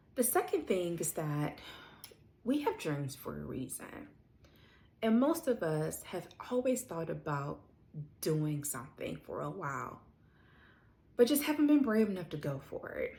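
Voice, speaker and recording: This woman speaks at a fairly slow pace with long, frequent pauses and big swings in loudness. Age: 40s. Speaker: lifestyle vlogger. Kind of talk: casual vlog talk to camera. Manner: conversational, with fillers.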